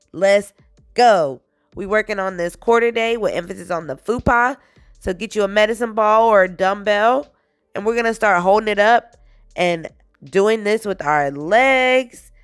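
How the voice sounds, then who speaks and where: The tone is energetic. Music plays in the background. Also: woman, medium pitch for a woman, ordinary pitch variation, moderate pace. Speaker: fitness instructor. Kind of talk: workout tutorial. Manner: casual, energetic.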